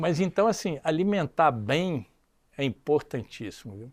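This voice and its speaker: With an ordinary speaking voice, a man talks at a fairly slow pace with lively intonation and fairly high pitch, in a very clean recording with a silent background. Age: 60s. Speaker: business executive. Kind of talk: casual chat.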